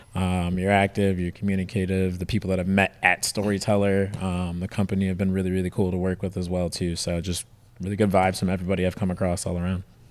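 A man with an American accent talks at a very fast pace with hardly any pauses. His pitch is very deep and low, his intonation monotone and flat. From Detroit, US Midwest. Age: 30s. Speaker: off-road shop staff, auto enthusiast. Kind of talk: casual interview.

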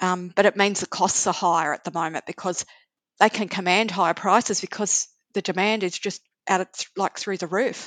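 A woman with an Australian accent at a fairly quick pace, flat and monotone in intonation, with a dry, close sound and no echo. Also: medium pitch for a woman, quiet background. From Australia, Sydney. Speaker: travel blogger and author. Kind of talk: interview.

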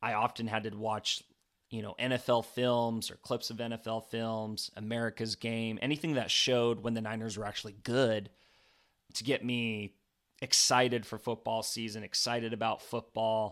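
A man speaks at a moderate pace in a medium pitch with flat, monotone intonation. The recording is very clean, with a silent background. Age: 20s. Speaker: podcast host and football coach. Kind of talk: solo sports analysis podcast.

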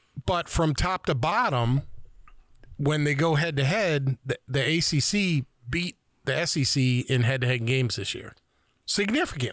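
Here a man has a normal speaking voice, fairly high in pitch with ordinary pitch variation, at a fairly slow pace, the recording very clean with a silent background and a dry, close sound with no echo. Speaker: co-host. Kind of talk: casual chat.

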